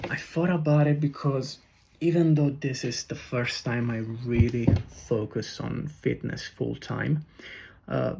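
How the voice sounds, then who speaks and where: Speaking at a fairly slow pace in an Italian accent, a man uses a fairly high pitch with ordinary variation and a dark, mellow, somewhat breathy tone. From Italy. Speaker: personal trainer and content creator. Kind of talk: casual vlog monologue. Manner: hesitant, many fillers.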